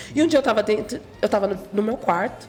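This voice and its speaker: The voice has ordinary pitch variation. There is noticeable background noise. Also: woman. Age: 40s. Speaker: gospel singer. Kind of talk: interview.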